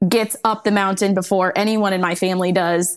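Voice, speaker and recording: With a plain, everyday voice, a woman talks in a medium pitch and keeps her intonation fairly even. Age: 30s. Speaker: podcast host. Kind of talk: casual chat. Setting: video call.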